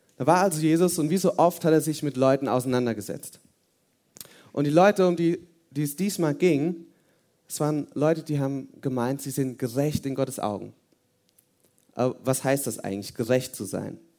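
At a moderate pace, a man talks at a fairly high pitch with ordinary pitch variation and long, frequent pauses. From Hesse, Germany. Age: 20s. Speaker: youth service speaker. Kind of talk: sermon. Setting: church youth service with audience.

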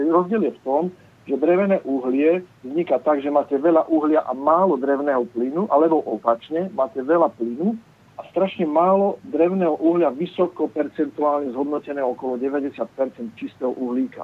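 Speaking with a Slovak accent, a man uses a fairly high pitch and ordinary pitch variation. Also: moderate pace. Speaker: caller. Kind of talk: phone-in question. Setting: phone call.

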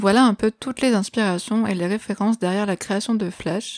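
A woman speaks at a moderate pace with fairly even intonation, in a very clean recording with a silent background and a dry, close sound with no echo. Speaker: music podcast host. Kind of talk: scripted solo podcast narration. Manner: radio-presenter style phrasing.

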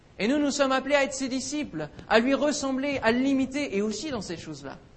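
Amid noticeable background noise, a man speaks in an animated tone at an extremely high pitch. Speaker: preacher. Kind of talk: sermon. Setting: church. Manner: animated, exhorting; rhetorical questions, call and response with congregation.

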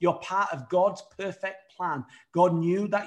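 The speaker has a British accent. The pace is fairly slow. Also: man. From United Kingdom. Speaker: evangelist. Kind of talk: sermon. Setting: virtual studio.

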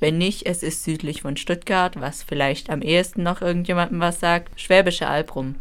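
Ordinary pitch variation marks this woman's unremarkable speaking voice. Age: 20s. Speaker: university student. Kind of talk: casual chat. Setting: radio studio.

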